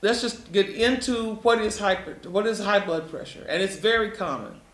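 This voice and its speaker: The speaker has an American accent and ordinary pitch variation at a moderate pace. Noticeable background noise is present. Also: man, high pitch for a man. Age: 70s. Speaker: health educator presenting to patients. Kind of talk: health lecture with slides. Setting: live stream presentation. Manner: conversational, repetitive.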